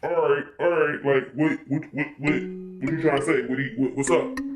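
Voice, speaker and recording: A man uses a put-on character voice at a fairly high pitch with fairly even intonation and a moderate pace. Faint music plays in the background. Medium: solo performance. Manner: blunt, slangy, stammering.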